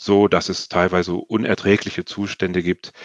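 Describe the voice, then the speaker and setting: A moderate pace in a dry, close recording with no echo. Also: man. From Sweden. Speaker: nonprofit sustainability expert. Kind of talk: interview. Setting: video call.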